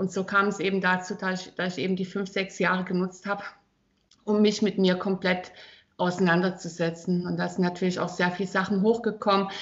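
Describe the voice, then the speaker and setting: Medium-pitched woman at a fairly quick pace in a monotone, flat intonation. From Thuringia, Germany. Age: 40s. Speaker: personal trainer. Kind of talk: casual interview.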